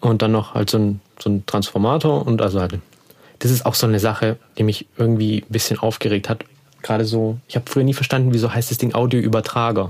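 Mumbling at a very fast pace, a man speaks at medium pitch with fairly even intonation. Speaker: podcast host. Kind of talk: casual chat.

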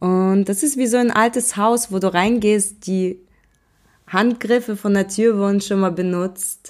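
A woman speaks at a medium pitch and a fairly slow pace in an unremarkable speaking voice. The recording is very clean, with a silent background. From Germany, born in Russia. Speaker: podcast host, entrepreneur. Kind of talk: casual monologue.

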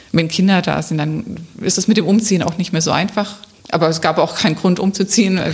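Over noticeable background noise, a woman speaks at a fairly quick pace with medium pitch and fairly even intonation. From Swabia (Remstal near Stuttgart), Germany. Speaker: local politician, council candidate. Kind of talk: interview. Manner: hesitant, many fillers.

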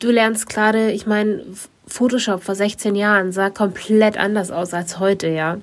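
An ordinary speaking voice from a woman at medium pitch, with fairly even intonation and a moderate pace. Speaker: podcast co-host and photographer. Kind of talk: casual chat.

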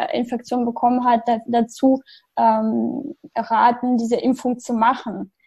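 A woman's high pitch at a very slow pace. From outside Germany. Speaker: patient sharing her health story. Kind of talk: podcast interview. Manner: halting, many fillers.

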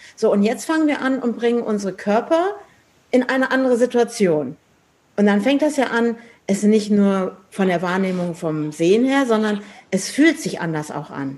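A fairly high female voice at a middling speed, with very wide swings in pitch. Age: 50s. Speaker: podcast host and architect. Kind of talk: casual chat. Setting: in person, sitting face to face.

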